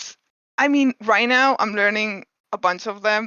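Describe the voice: A woman at a fairly slow pace, medium in pitch with ordinary pitch variation, her tone clear and smooth as well as bright and sharp. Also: dry, close sound with no echo.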